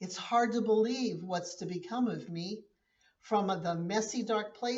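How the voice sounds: Pitch shifts in an ordinary way as a natural reading voice carries over a quiet background.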